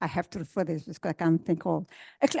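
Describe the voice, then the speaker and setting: The tone is dark and mellow. The sound is dry and close with no echo, against a quiet background. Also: woman. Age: 70s. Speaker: senior centre volunteer, programme participant. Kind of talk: personal testimony at a public talk. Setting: auditorium with audience. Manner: halting.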